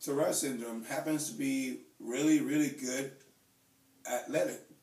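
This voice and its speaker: A man with a Spanish accent at a moderate pace, with audible room echo and noticeable background noise. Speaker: YouTuber with Tourette syndrome. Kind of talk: casual chat. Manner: halting, with stammered repetitions.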